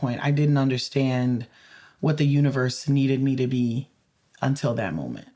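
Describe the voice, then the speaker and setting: A woman with an American accent speaks at a very deep, low pitch. Her tone is dark and mellow, and her intonation fairly even. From Louisiana, US South. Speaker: community advocate and lawyer. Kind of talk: interview conversation. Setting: podcast interview. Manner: loud.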